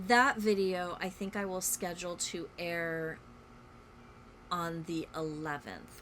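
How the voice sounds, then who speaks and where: A woman speaks in a normal speaking voice. Her fairly low pitch follows fairly even intonation. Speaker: cross stitch vlogger. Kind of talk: casual chat. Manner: casual, many fillers.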